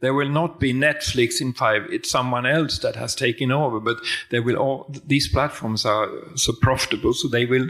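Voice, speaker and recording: A man with a Swedish accent speaks at medium pitch and a moderate pace with fairly even intonation, over noticeable background noise. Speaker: film industry consultant. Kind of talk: panel discussion.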